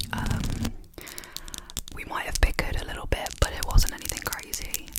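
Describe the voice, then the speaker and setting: Whispering at a moderate pace, a woman talks over noticeable background noise. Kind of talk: ASMR whisper rambles, casual chit chat to camera. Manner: whispered, chatty.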